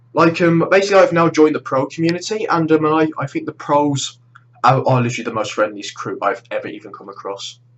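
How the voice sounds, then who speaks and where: A man with a British accent, talking at a very fast pace. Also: big swings in loudness. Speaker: gaming YouTuber. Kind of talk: vlog monologue. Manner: halting.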